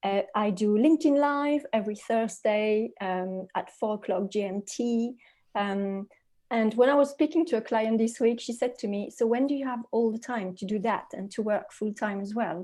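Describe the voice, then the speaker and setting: A woman with a French accent speaks at a moderate pace in a fairly high pitch with ordinary pitch variation and a dark, mellow tone, on a very clean recording with a silent background. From France. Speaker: leadership coach. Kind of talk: podcast interview.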